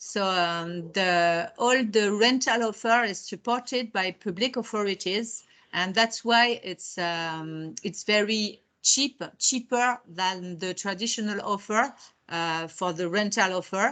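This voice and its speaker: At a very slow pace, a woman with a French accent talks at medium pitch with ordinary pitch variation. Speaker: technology park and incubator representative. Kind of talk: webinar presentation. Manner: halting, with many repetitions and fillers.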